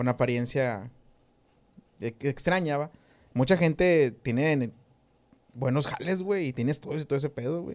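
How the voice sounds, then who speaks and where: Speaking in a strong regional Mexican accent, a man talks at a fairly slow pace in a fairly high pitch, with long, frequent pauses. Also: ordinary pitch variation. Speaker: podcast host. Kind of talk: casual chat.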